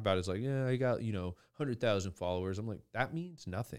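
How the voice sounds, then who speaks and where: In a very clean recording with a silent background, a plain, everyday voice speaks with lively intonation. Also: man. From Idaho. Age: 20s. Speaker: podcast host. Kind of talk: casual chat.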